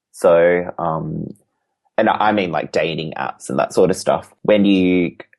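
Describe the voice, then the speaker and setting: A fairly slow-speaking man with an Australian accent. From Western Australia, Perth. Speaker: crochet artist. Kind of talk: casual interview chat. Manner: halting, many fillers.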